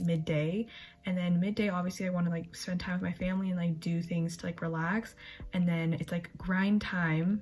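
A woman speaks at a fairly quick pace in a fairly low, somewhat breathy voice. Her intonation is monotone and flat. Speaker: college student vlogger. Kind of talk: casual vlog chat. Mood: chatty, relaxed, late night. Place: home room. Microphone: phone near.

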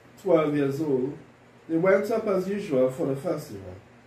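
There is noticeable background noise behind this man's voice. His pitch sits fairly high and swings very widely. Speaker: deacon leading worship. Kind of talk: liturgy and sermon. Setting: church.

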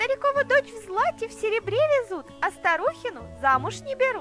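A put-on character voice with a fairly bright tone swings widely in pitch at a fairly quick pace, with faint music behind it. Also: woman, extremely high pitch for a woman.

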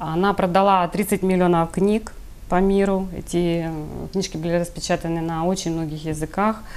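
A woman with a fairly low voice speaks at a moderate pace. Her intonation is monotone and flat. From Ukraine, Kryvyi Rih; Ukraine. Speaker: healer; interview guest. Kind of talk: TV interview. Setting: studio. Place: studio. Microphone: lapel.

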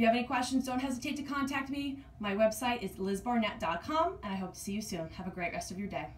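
This woman speaks at a very fast pace with lively intonation. She hardly pauses at all, and light background noise can be heard. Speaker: fitness coach. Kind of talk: workout tutorial. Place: home room. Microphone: camera far.

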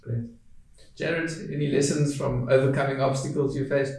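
A man with a medium-pitched, slightly mellow voice speaks in fairly even intonation, with strong echo filling the room. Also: moderate pace.

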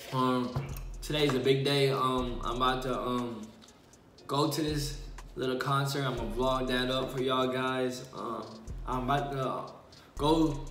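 Amid light background noise and audible room echo, a man talks at a fairly slow pace in a monotone, flat intonation with long, frequent pauses. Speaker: vlogger. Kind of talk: casual vlog chat, mukbang. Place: home room. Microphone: phone near.

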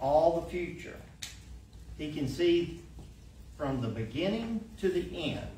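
At a fairly slow pace, a man talks amid light background noise and audible room echo. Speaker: church lay reader. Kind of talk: devotional reading. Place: church. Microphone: podium.

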